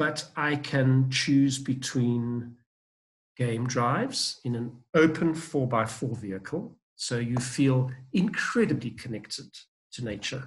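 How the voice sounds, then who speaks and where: A man speaks at a very slow pace in a somewhat breathy voice. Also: medium pitch for a man, ordinary pitch variation. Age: 60s. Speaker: safari travel expert. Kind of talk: podcast interview.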